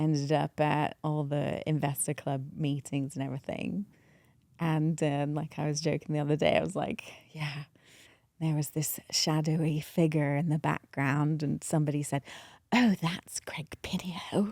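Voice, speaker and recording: Over a very clean recording with a silent background, a woman speaks in a very deep, low pitch with a dark, mellow tone and fairly even intonation. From England, then Berlin and Asia, boarding school. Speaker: real estate investor. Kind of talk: casual interview. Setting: airplane hangar.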